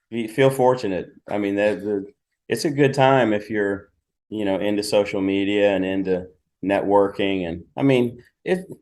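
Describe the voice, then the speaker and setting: A plain, everyday voice from a man, fairly low in pitch, at a moderate pace with ordinary pitch variation, over a quiet background. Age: 60s. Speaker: pro bodybuilder and fitness model. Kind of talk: casual interview. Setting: video call on laptop.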